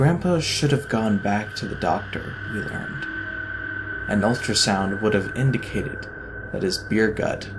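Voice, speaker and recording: A male voice of medium pitch with lively intonation and long, frequent pauses, music playing in the background. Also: moderate pace. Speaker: narrator. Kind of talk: horror story narration.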